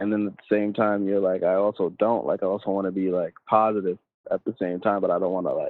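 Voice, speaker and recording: The voice carries a New York accent and fairly even intonation. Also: man. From Long Island, New York. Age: 20s. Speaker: rapper. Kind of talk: casual interview.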